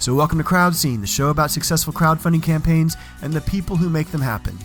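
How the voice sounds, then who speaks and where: Music plays behind a man who talks at a very fast pace in a fairly high pitch with ordinary pitch variation. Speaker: podcast host. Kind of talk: podcast intro narration.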